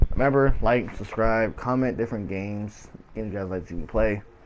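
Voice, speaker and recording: A man speaks against noticeable background noise. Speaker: gaming streamer. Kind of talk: gameplay commentary. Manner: casual, repetitive.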